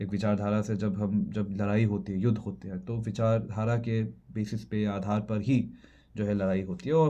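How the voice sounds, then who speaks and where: A man with a non-native accent talks in a fairly low pitch with a dark, mellow tone. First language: not Hindi (speaking Hindi). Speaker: video creator. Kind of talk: casual monologue vlog. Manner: halting, many fillers and restarts.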